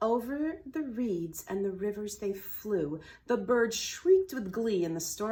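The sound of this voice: With lively intonation, the clip offers an unforced reading voice.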